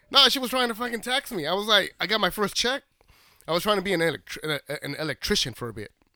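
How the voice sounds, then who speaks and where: An energetic man's raised, projected voice, bright and sharp in tone, very fast, dry and close with no echo. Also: big swings in loudness. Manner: loud, joking, fast, ad-libbed, energetic.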